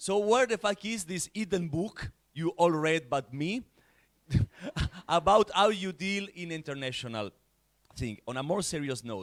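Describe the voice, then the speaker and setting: With lively intonation and an Italian accent, a high-pitched man speaks at a fairly slow pace with long, frequent pauses in dry, close sound with no echo. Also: very clean recording, silent background. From Italy. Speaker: larp organizer, panelist. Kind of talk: panel discussion. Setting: conference stage with audience. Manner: halting, repeats words.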